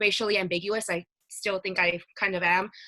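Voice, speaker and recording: Someone with a Spanish accent talks at a moderate pace in a bright, sharp tone. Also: woman. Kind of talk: casual chat. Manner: hesitant, many fillers.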